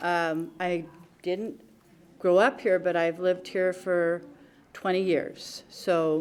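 This is a woman speaking at a medium pitch. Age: 60s. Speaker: public commenter. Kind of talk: public comment at council meeting.

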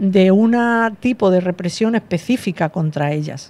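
A woman speaks at a moderate pace in a normal speaking voice. Her pitch is fairly low, with ordinary variation. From Andalusia, Granada province (small village); Andalusia. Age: 60s. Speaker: teacher and researcher, author; teacher. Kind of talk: interview. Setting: radio studio. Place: studio. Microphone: studio mic.

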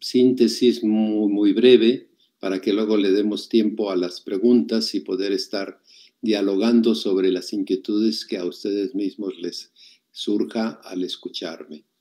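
The man's tone is dark and mellow, his pitch fairly low. He speaks at a fairly slow pace with fairly even intonation. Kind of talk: reflective talk to online audience. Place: home room. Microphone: webcam.

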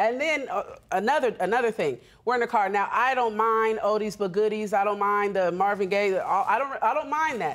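A woman speaks at a moderate pace with a fairly high pitch. Her tone is animated, with ordinary pitch variation. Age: 30s. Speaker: reality court show litigant. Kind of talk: testimony. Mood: aggrieved, exasperated. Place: stage. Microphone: lapel.

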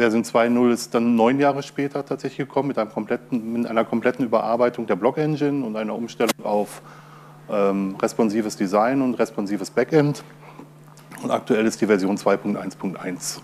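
Over light background noise, a man at medium pitch talks at a moderate pace in an unremarkable speaking voice. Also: ordinary pitch variation. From Ruhr area, Germany. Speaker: open source software user and conference speaker. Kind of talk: conference talk. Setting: stage with audience. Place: hall.

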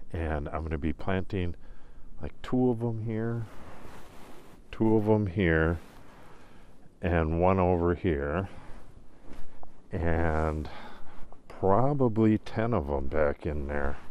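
Speaking very slowly with long, frequent pauses, a man uses a very deep, low pitch and lively intonation. The sound is dry with no echo, over light background noise. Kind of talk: casual vlog chat. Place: forest. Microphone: phone near.

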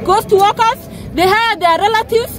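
The voice moves at a fairly quick pace with ordinary pitch variation and a dry sound with no echo. Crowd noise can be heard in the background. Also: woman. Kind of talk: interview answer. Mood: angry, aggrieved. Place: street.

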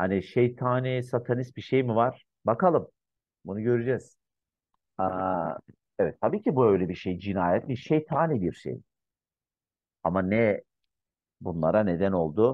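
A man speaks at a fairly slow pace in a fairly low pitch, with long, frequent pauses. The sound is dry with no echo against a quiet background. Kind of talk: commentary. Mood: calm, reflective. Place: home room. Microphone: webcam.

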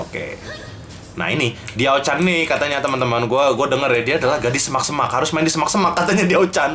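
A man talks at a very fast pace. Faint music can be heard in the background. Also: ordinary pitch variation. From Indonesia. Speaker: gaming youtuber. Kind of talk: live gameplay commentary. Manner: animated. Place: home room. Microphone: cheap-sounding headset mic.

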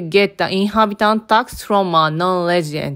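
A woman with a Japanese accent talks at a moderate pace. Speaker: lifestyle vlogger. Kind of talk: vlog narration.

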